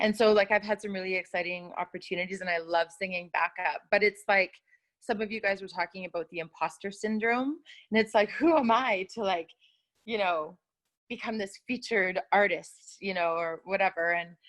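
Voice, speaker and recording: A woman with a normal speaking voice talks at a moderate pace and medium pitch with ordinary pitch variation. The sound is dry and close with no echo. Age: 40s. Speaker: singer and vocal coach. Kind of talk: casual chat.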